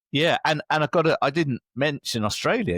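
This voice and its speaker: A man with an English accent talks at a fairly quick pace, his voice showing vocal fry. The recording is very clean with a silent background, and the sound is dry and close with no echo. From England. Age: 60s. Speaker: leadership coach. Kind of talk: interview.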